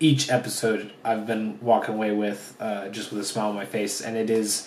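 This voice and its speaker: Monotone, flat delivery at a moderate pace, with noticeable background noise and audible room echo. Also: man, fairly low pitch for a man. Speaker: anime reviewer. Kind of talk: solo video review. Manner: hesitant, many fillers.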